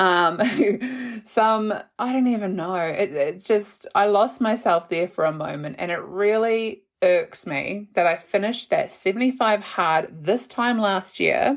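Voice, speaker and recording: Speaking in an unremarkable voice at medium pitch, a woman moves at a fairly slow pace with lively intonation. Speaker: podcast host. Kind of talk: casual podcast talk. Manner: warm, chatty.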